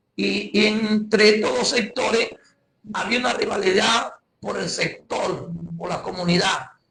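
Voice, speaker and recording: A man with a Venezuelan accent, a fairly slow pace and audible room echo. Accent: Guárico Venezuelan accent, noticeable. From Guárico, Venezuela. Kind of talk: testimony. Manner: halting, many repetitions and fillers.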